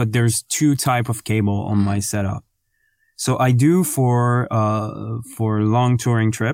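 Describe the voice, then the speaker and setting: Recorded very cleanly with a silent background and a dry, close sound with no echo, a man with a French accent talks at a very slow pace and medium pitch. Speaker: podcast co-host. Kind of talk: casual chat. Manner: hesitant, many fillers.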